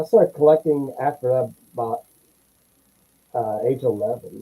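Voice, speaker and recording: A man with a medium pitch and a dark, mellow, somewhat breathy tone, in a dry, close sound with no echo. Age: 60s. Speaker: comic book collector. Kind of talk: casual chat.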